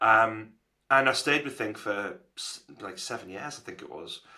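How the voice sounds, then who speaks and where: A man speaks with a Geordie accent at a moderate pace. His tone is bright and sharp, with ordinary pitch variation. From northern England, Newcastle. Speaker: agency founder. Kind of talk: podcast interview.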